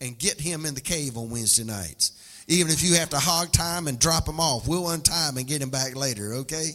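With music in the background, a man in a Southern US accent talks at a moderate pace. His tone is animated and his pitch fairly high. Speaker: preacher. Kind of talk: sermon, preacher in full flow. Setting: church with live congregation. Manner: animated, exhorting the congregation; folksy, humorous.

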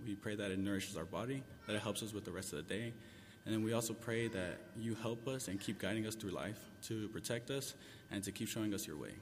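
A very fast, fairly low-pitched male voice with fairly even intonation. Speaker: church member. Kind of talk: prayer.

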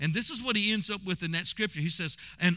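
Raised and projected, the man's voice sits high in pitch and has a bright, sharp tone. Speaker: pastor. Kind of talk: sermon; prayer. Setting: church; broadcast to radio/online audience. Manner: animated, exhorting, call-and-response; laughing, conversational preaching.

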